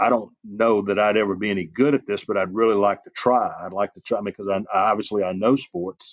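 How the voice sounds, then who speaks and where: With a Southern US accent, a man talks at a fairly quick pace with a fairly low pitch, fairly even intonation and hardly any pauses. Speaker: sports journalist and college football analyst. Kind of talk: interview. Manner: halting.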